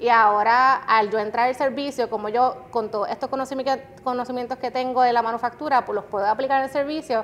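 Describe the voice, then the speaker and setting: A woman with a high voice talks at a fairly quick pace, with hardly any pauses and fairly even intonation. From Puerto Rico (Guayama). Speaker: customer experience director. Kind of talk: interview.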